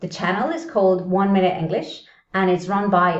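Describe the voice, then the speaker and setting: A non-native accent at a moderate pace, with audible room echo. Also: woman. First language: not English. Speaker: English teacher. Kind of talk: video tutorial. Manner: casual, conversational.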